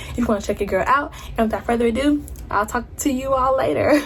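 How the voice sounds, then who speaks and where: A woman's pitch varies in an ordinary way as she talks against noticeable background noise. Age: 20s. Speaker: beauty vlogger. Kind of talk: casual vlog talk; makeup tutorial. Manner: casual; fast.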